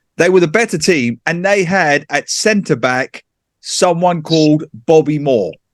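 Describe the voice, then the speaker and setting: With an East London accent, a man speaks fairly slowly at a fairly high pitch with ordinary pitch variation, in a dry, close sound with no echo. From England, East London. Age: 40s. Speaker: author and football pundit. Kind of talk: casual chat. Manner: animated.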